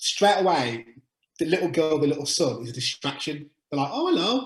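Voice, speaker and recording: Speaking fairly quickly with a Birmingham accent, a man uses a fairly high, somewhat breathy voice. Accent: Birmingham (Brummie). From England, Birmingham. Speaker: utility sales agent. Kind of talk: webinar Q&A. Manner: fast.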